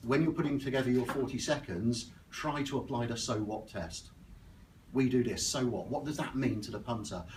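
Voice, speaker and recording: A man with an Oxfordshire accent speaks at a moderate pace with ordinary pitch variation, and audible room echo surrounds his voice. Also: medium pitch for a man. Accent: West Oxfordshire. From West Oxfordshire, southern England. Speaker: business networking speaker. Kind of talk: presentation talk. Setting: stage with audience at networking breakfast.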